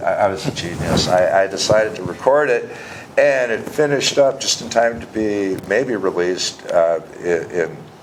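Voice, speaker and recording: A man with an American accent speaks at a moderate pace, his loudness swinging widely, against noticeable background noise. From Wisconsin, US Midwest. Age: 60s. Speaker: singer-songwriter. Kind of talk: casual interview chat.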